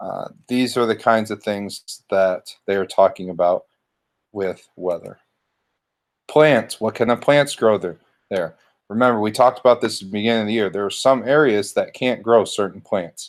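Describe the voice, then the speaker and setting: On a very clean recording with a silent background, a man with an ordinary speaking voice talks at a moderate pace and a fairly low pitch. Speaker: schoolteacher. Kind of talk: recorded lesson. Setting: home living room.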